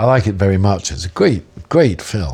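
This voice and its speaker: A man's dark, mellow voice with a southern English accent. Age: 70s. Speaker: jazz musician. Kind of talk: interview. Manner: reflective, with frequent 'um' fillers.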